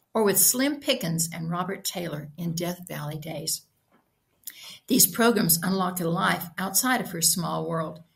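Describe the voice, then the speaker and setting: A woman speaks slowly in a fairly low, somewhat breathy voice. Her pitch variation is ordinary and the pace fairly slow. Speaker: author reading own story. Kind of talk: short fiction reading.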